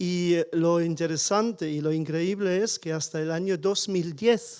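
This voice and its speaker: Speaking with a German accent, a man uses a high pitch and fairly even intonation, his dark, mellow tone captured in a very clean recording with a silent background. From Germany (small village). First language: German (speaking Spanish). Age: 60s. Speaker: audience member. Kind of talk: panel discussion. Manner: halting.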